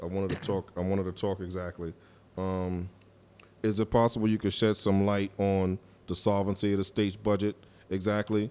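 A man with a New York accent speaks at a fairly quick pace in a dark, mellow tone, his fairly low pitch held monotone and flat, with long, frequent pauses in a very clean recording over a silent background. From East New York, Brooklyn. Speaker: radio co-host. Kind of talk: radio interview. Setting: studio.

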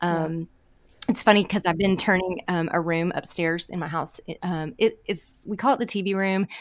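Her intonation fairly even, a woman talks at medium pitch and a moderate pace in an unremarkable speaking voice. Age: 40s. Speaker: home organizer. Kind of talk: casual chat. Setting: studio.

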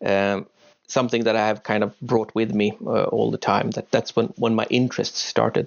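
A man with a Swedish accent at a moderate pace. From Uppsala, Sweden. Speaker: professor. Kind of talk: panel discussion. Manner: hesitant.

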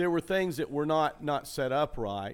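With a plain, everyday voice, a man talks at a fairly slow pace, his fairly high pitch carried by lively intonation. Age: 60s. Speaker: comedy club owner and podcast host. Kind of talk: casual chat. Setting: empty comedy club showroom.

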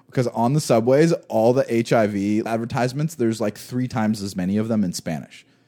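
Speaking at a fairly quick pace with hardly any pauses, a man with an American accent has a dark, mellow tone and a medium pitch with ordinary pitch variation. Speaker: podcast co-host. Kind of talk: casual chat. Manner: animated.

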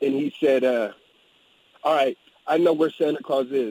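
In an unremarkable speaking voice, a man talks at a fairly high pitch and moderate pace, the sound dry and close with no echo. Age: 40s. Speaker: caller. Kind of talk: radio call-in.

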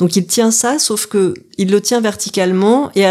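Speaking at a very slow pace, a woman keeps a calm tone with ordinary pitch variation. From Paris region, France. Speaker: photographer. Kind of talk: interview. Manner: halting.

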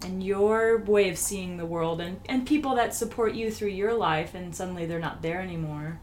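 Lively intonation marks an unremarkable speaking voice moving at a moderate pace. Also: woman. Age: 30s. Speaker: podcast host. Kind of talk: interview. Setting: living room at home.

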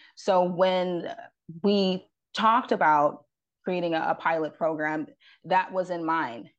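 A woman with an American accent speaks in a plain, everyday voice at a fairly low pitch against a quiet background. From upstate New York, Rochester. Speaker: parent advocacy director. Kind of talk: radio interview.

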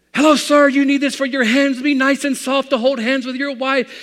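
A man does a put-on character voice at extremely high pitch. He speaks fairly quickly in a flat, monotone way. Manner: salesman pitch, charming.

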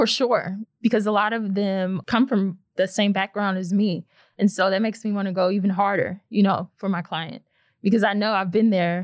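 A woman speaks in an American accent at a moderate pace. Her intonation stays fairly even. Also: medium pitch for a woman. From St. Louis, Missouri. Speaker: lawyer. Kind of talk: interview.

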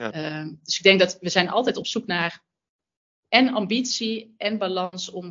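In a Brabant accent, a woman talks at a medium pitch with ordinary pitch variation. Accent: Brabant soft G. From Brabant, Netherlands. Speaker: sustainability manager at fashion brand. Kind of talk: interview.

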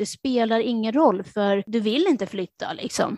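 A woman with a normal speaking voice and a fairly high pitch talks at a moderate pace, recorded dry and close with no echo against a silent background on a very clean recording. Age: 30s. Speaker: podcast host. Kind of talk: casual chat.

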